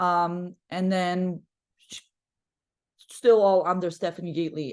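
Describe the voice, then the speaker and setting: In a Polish accent, a woman talks at a fairly slow pace with a fairly low pitch and monotone, flat intonation. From Poland. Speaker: basketball coach. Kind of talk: podcast interview. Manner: talkative.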